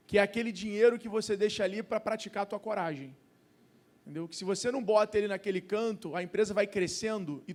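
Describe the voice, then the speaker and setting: This man speaks at a fairly quick pace in a high pitch with ordinary pitch variation. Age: 30s. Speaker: entrepreneur and investor. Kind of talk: panel discussion.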